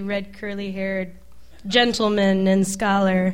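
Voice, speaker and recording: A woman with a normal speaking voice speaks at a fairly slow pace and a medium pitch. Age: 20s. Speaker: musician. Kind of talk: casual interview. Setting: stage with audience.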